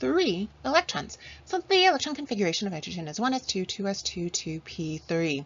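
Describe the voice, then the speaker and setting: A woman with a somewhat breathy voice speaks at a medium pitch. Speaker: chemistry teacher. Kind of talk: lecture. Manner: animated.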